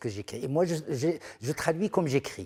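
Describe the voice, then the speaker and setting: A man speaks at a fairly slow pace in a fairly high voice with a dark, mellow tone and vocal fry. The recording is very clean and dry, close-miked with no echo against a silent background. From Morocco, rural area near Fez. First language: Moroccan Arabic (Darija) (speaking French). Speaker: art critic and writer, translator. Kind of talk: TV interview. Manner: halting, many hesitations and repetitions.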